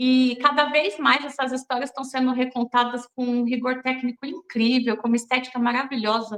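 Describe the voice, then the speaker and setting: A high-pitched woman speaks at a moderate pace with hardly any pauses. Her intonation is monotone and flat. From Brazilian Northeast, raised in São Paulo. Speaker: film director. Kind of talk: interview.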